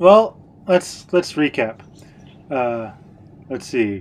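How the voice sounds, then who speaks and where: A man speaks in a normal speaking voice at medium pitch with an American accent, keeping a fairly slow pace. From United States. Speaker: podcast co-host. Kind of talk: casual chat.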